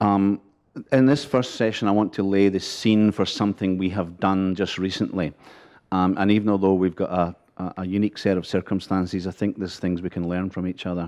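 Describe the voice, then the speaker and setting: In a Scottish accent, a man talks at a fairly quick pace with a very deep, low pitch and fairly even intonation against a quiet background. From Scotland. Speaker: border agency official. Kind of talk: conference panel talk. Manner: humorous, conversational.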